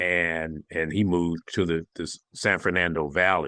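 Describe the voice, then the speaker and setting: The speaker has an American accent and keeps a moderate pace. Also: man, dry, close sound with no echo. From Los Angeles. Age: 70s. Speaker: minister and coach. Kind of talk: interview conversation.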